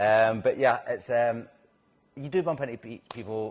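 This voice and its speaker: Speaking with a Scottish accent, a man keeps a fairly slow pace. His pitch is medium, with ordinary variation. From Scotland. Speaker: actor. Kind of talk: interview. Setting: on location in a bar.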